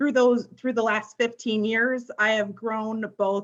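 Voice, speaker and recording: Speaking at a moderate pace with a US Midwestern accent, a woman uses a medium pitch and ordinary pitch variation. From northern Illinois, Sycamore. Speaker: political candidate, county office clerk. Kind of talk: candidate forum statement.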